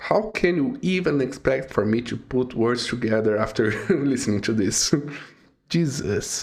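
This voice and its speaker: Fairly slow speech with lively intonation in a non-native accent. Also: man, medium pitch for a man. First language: not English. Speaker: music reaction youtuber. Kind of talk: reaction video commentary. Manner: halting, many fillers.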